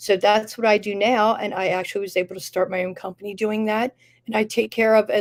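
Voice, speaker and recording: Over a silent background on a very clean, dry, close recording with no echo, a woman with a plain, everyday voice talks at a fairly quick pace, medium pitch and ordinary pitch variation. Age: 60s. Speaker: nurse and cannabis consultant. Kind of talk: interview.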